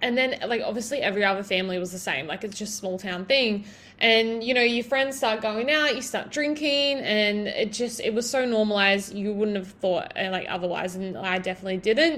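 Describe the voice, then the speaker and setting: With an Australian accent, a woman talks at a fairly quick pace and fairly high pitch, using ordinary pitch variation and hardly any pauses. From Australia, Broken Hill NSW. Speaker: podcast host and online fitness coach. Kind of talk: solo podcast monologue. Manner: casual, filler-heavy.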